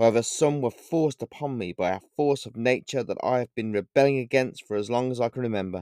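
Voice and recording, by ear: Ordinary pitch variation throughout, while reading aloud in a natural voice.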